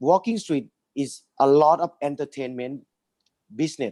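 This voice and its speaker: Here a man with a fairly high pitch and a dark, mellow tone talks at a fairly slow pace with ordinary pitch variation. The sound is dry and close, with no echo. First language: Thai. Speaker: business owner. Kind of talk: webinar presentation.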